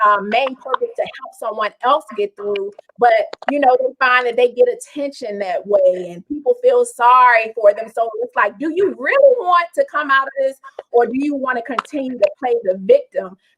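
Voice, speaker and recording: A loud woman's voice, high in pitch, at a moderate pace with ordinary pitch variation. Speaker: talk show host. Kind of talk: interview. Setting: live stream.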